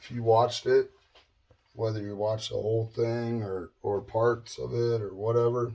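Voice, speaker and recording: Somewhat breathy speech with monotone, flat intonation at a moderate pace. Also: man, medium pitch for a man. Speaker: guitar builder. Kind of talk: tutorial. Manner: casual, hesitant.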